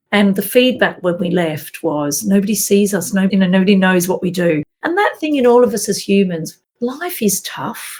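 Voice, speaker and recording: A woman with an Australian accent speaks at a moderate pace and a medium pitch. Her pitch varies in an ordinary way, with hardly any pauses. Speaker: minister. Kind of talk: interview answer.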